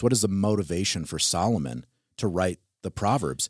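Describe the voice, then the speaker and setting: A man with an American accent talks at a fairly quick pace, with a dry, close sound and no echo. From Wisconsin, US. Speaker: podcast co-host and church elder. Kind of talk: casual theological discussion.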